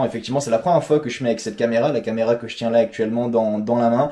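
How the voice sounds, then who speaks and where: A man speaks with fairly even intonation. His pitch sits in the medium range. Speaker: football vlogger. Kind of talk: casual chat.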